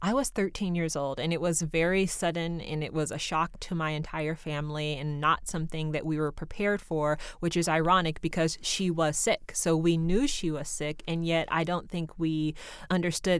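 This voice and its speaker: Fairly low in pitch, a woman with an unremarkable speaking voice and an American accent talks at a moderate pace with fairly even intonation and hardly any pauses, on a very clean recording with a silent background. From Seattle, Central District. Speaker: nonprofit co-founder. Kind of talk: interview. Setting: studio.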